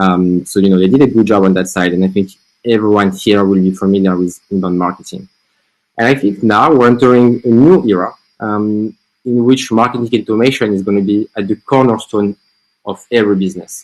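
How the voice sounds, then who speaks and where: Speaking fairly quickly with fairly even intonation, a man has a French accent. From France. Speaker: marketing agency founder. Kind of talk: webinar presentation.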